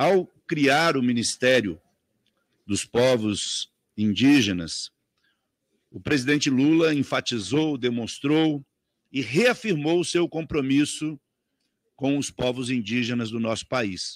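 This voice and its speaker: A man at a very slow pace, lively intonation and long, frequent pauses, over a quiet background. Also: dry sound with no echo. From Brazil. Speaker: congressman. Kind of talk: parliamentary speech. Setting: parliamentary committee room. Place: meeting room. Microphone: podium.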